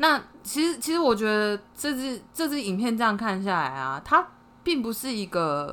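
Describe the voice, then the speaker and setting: Her fairly high voice sounds animated, bright and sharp, swinging very widely in pitch as the woman talks at a moderate pace. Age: 30s. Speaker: podcast co-host. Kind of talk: casual chat. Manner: animated, frequent laughter.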